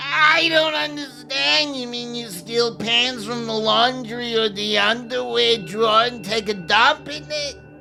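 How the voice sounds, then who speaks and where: In a put-on character voice, raised and projected, the speaker goes at a fairly slow pace while clear music plays in the background. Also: man, extremely high pitch for a man. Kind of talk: comedy audio sketch. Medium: audio drama. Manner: hesitant, stammering.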